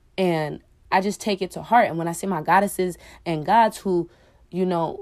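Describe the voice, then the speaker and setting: Recorded very cleanly against a silent background, a woman talks at a medium pitch. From Oakland, California. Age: 20s. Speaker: podcast host. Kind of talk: casual solo monologue. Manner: animated.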